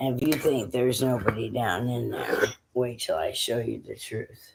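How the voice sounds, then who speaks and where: A man's put-on character voice, hoarse and raspy, at a medium pitch and a moderate pace. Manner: fervent.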